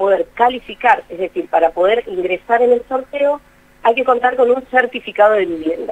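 Lively in intonation, a woman speaks at a moderate pace with a fairly high pitch. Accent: Rioplatense. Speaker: municipal official. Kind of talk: interview. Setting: phone call. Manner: formal.

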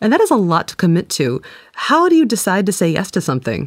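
Very wide pitch swings at a fairly quick pace, on a very clean recording with a silent background. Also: woman. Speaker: podcast co-host and interviewer. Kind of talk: casual chat and interview. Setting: studio.

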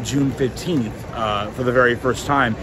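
A man at a moderate pace with ordinary pitch variation, dry with no echo, amid noticeable background noise. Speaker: theme park vlogger. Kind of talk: casual vlog chat.

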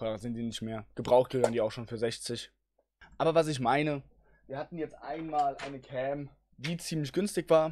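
A man speaks in an ordinary speaking voice with a fairly high pitch and ordinary pitch variation. His loudness swings widely at a moderate pace. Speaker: gaming streamer; streamer. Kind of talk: tutorial. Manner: casual, with many filler sounds. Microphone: speaks very close to the mic, with pop filter.

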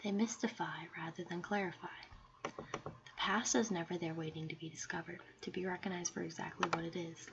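Noticeable background noise accompanies a soft-spoken woman. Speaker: ASMR creator. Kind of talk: ASMR soft-spoken reading of an essay for sleep. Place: home room. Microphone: studio mic.

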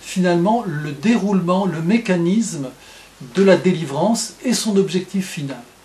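A man speaks in a high voice at a fairly slow pace, with light background noise. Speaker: religious teacher. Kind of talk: lecture. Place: home room. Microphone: webcam.

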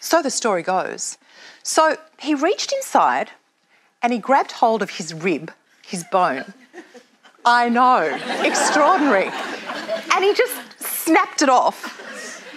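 Against crowd noise in the background, a woman speaks at a fairly slow pace with long, frequent pauses. Her tone is upbeat, and her pitch swings very widely. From Australia. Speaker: radio and television broadcaster, MC, live performer. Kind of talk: event host / MC showreel, storytelling. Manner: humorous, upbeat, witty. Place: stage. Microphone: lapel.

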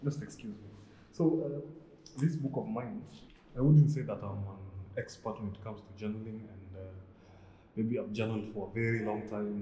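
A man's voice amid light background noise, with room echo clearly audible. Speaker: vlogger. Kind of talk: casual vlog chat. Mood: relaxed, smiling. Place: home room. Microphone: phone near.

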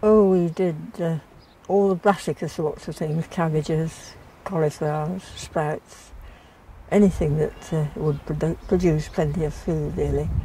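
The speaker talks at a fairly slow pace with fairly even intonation, over light background noise in a dry space with no echo. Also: woman, very deep, low pitch for a woman. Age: 80s+. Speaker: retired head gardener. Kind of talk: interview answer. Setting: outdoors. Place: garden. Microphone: lapel.

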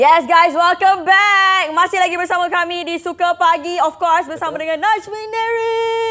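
A woman's extremely high voice with ordinary pitch variation, a moderate pace and hardly any pauses, over noticeable background noise. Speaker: morning TV show co-host. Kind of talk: live TV morning show chat and news reading. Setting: TV studio, live broadcast. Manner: softened gentle delivery for the occasion.

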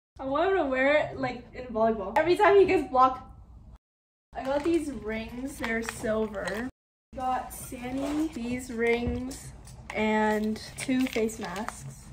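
A woman's high pitch in lively intonation at a very slow pace, with noticeable background noise. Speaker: vlogger. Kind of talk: casual haul vlog chat. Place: home room. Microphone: camera far.

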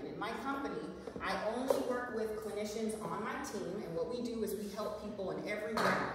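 Loud background noise and audible room echo surround a woman talking at a fairly quick pace. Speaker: nurse practitioner and wellness speaker. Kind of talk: live talk to an audience. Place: meeting room. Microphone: camera far.

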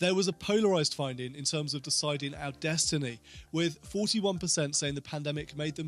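A man at a moderate pace with ordinary pitch variation, dry sound with no echo, and faint music in the background. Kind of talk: explainer talk to camera. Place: home room. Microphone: studio mic.

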